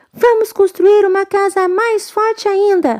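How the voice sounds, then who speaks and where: A squeaky, put-on character voice at a fairly slow pace with fairly even intonation. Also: woman, extremely high pitch for a woman. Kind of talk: bedtime story. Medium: read story. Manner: polite, speaking together.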